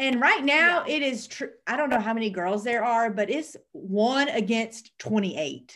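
A woman with a Southern US accent and a fairly high pitch speaks fairly slowly with hardly any pauses, using a bright, sharp tone and lively intonation. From US South. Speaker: podcast co-host. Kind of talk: casual chat.

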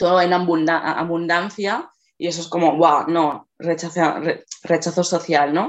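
A woman at a fairly low pitch, very slow and monotone, with flat intonation. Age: 20s. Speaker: body-positive activist and artist. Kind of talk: radio interview.

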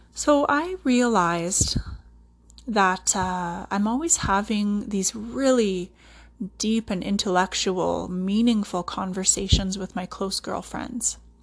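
A woman's medium-pitched, somewhat breathy voice in a Canadian accent, very slow in pace, over a quiet background. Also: ordinary pitch variation. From central Alberta, Canada. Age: 30s. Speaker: podcast host, respiratory therapist and yoga teacher. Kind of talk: solo podcast monologue.

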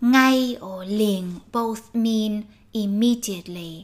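A woman with a Vietnamese accent, somewhat breathy and fairly high in pitch, at a very slow pace with fairly even intonation. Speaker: Vietnamese language teacher. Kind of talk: language lesson. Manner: slow, with repetitions.

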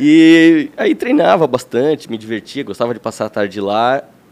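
A man talks in a normal speaking voice at a fairly high pitch. His pace is moderate and his pitch varies in an ordinary way. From Santa Catarina, Brazil (Lages). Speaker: architect. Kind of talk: interview.

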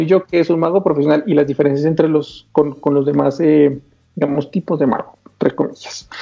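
A man with a fairly high pitch talks at a fairly quick pace. Music is playing in the background. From Colombia. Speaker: magician and channel host. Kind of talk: casual chat.

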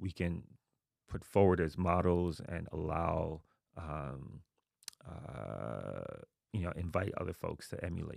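Vocal fry marks this voice, which moves at a very slow pace with long, frequent pauses. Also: man, very deep, low pitch for a man, ordinary pitch variation. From New York, Queens (born in Haiti). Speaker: university dean. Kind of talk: interview.

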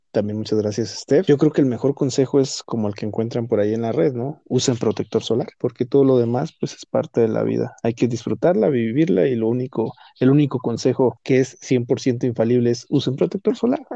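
A man talks at a fairly quick pace. His tone is dark and mellow. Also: medium pitch for a man, ordinary pitch variation, hardly any pauses. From Mexico. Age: 30s. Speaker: podcast guest. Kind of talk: casual chat.

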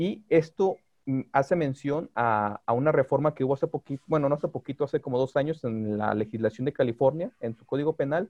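With an unremarkable speaking voice, a man talks at a fairly quick pace and fairly high pitch, showing ordinary pitch variation and big swings in loudness. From Mexico, Guadalajara. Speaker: lawyer specializing in digital law. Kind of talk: podcast interview.

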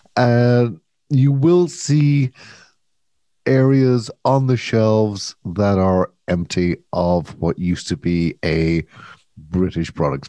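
A man speaks in an Irish accent, his pitch swinging very widely. His tone is dark and mellow, and the sound is dry and close with no echo. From Ireland. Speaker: podcast co-host. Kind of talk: casual chat.

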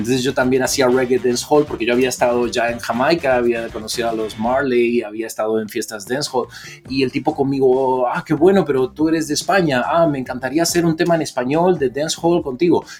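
With music in the background, the speaker goes at a fairly quick pace with hardly any pauses and ordinary pitch variation. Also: man, medium pitch for a man. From Argentina. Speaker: DJ and musician. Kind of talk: casual interview chat. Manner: animated.

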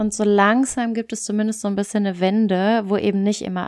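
A woman with an unremarkable speaking voice talks at a medium pitch and moderate pace, in a very clean recording with a silent background and a dry, close sound with no echo. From German-speaking Belgium. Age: 20s. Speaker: podcast co-host. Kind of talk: casual chat. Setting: long-distance call.

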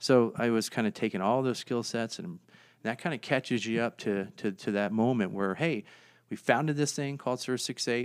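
In an American accent, a man speaks at a medium pitch with ordinary pitch variation and a plain, everyday voice. His moderate pace comes through on a very clean recording with a silent background. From US, Northern Virginia (DC suburbs). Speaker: nonprofit founder, former police officer. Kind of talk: interview.

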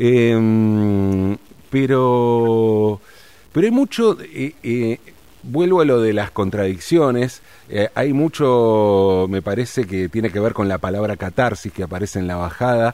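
At a very slow pace, the speaker uses a Rioplatense accent with a dark, mellow tone and ordinary pitch variation. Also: man, medium pitch for a man. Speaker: radio host. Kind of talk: radio interview.

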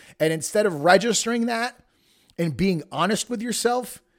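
An angry man talks with an American accent and very wide pitch swings. The recording is very clean, with a silent background. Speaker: podcast host and personal development coach. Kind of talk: solo podcast monologue, motivational talk; angry rant, profane motivational tirade. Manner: angry, emphatic, hammering repetition with heavy swearing; casual, halting with filler words.

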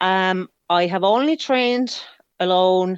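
A woman with a Finnish accent speaks at a very slow pace with ordinary pitch variation, in a dry, close sound with no echo and a quiet background. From Finland, countryside. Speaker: ultra runner. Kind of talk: interview. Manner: halting.

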